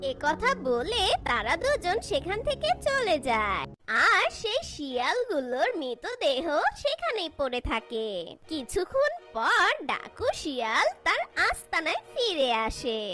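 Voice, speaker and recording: A cartoonish character voice at an extremely high pitch, with very wide pitch swings and a fairly slow pace. Clear music plays in the background. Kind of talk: folk tale narration.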